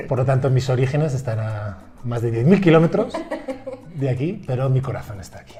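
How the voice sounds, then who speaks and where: In a Spanish accent, a man with medium pitch speaks at a fairly quick pace, his intonation lively and his loudness swinging widely, amid noticeable background noise and audible room echo. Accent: Spanish, from Spain. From Spain, Madrid. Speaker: university professor. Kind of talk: casual interview. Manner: halting.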